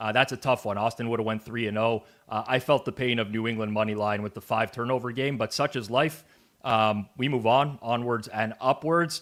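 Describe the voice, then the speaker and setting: A man with a Canadian accent uses a normal speaking voice at a medium pitch, moving at a fairly quick pace with fairly even intonation. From Canada. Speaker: sports betting show host. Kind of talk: sports betting analysis show.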